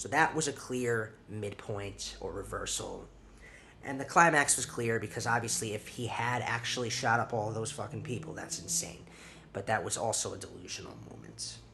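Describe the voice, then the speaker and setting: Audible room echo around a man's voice, pitched in the middle range. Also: ordinary pitch variation. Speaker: film review podcaster. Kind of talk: casual solo film review. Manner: halting, stuttering; hurried.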